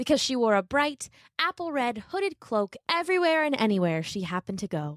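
Very wide pitch swings mark this woman's fairly high, animated, warm voice, recorded very cleanly with a silent background and a dry, close sound with no echo. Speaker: podcast host and storyteller. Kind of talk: fairy-tale narration, read aloud to children. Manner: warm, gentle storyteller; animated, changes voice for characters.

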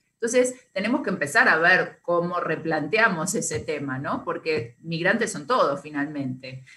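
A woman's fairly low voice with a bright, sharp tone, lively intonation and an Argentine accent. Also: moderate pace. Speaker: radio co-host. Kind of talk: casual chat.

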